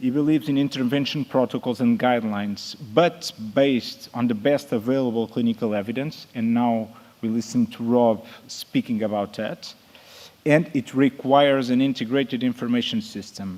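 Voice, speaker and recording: A man with a non-native accent speaks at a moderate pace, his medium pitch showing ordinary variation. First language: Portuguese. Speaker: emergency nurse. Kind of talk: conference presentation. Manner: halting.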